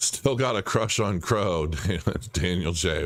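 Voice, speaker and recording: A man is speaking. The variation in his pitch is ordinary. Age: middle-aged. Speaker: crypto livestream host. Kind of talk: live stream chat reading viewer comments. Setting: live stream.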